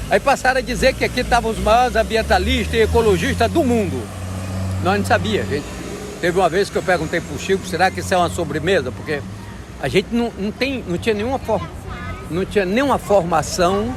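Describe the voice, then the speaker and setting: Against noticeable background noise, the words come out at a very fast pace. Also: man. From Acre, Brazil. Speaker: rubber tapper and forest defender. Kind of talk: interview answer.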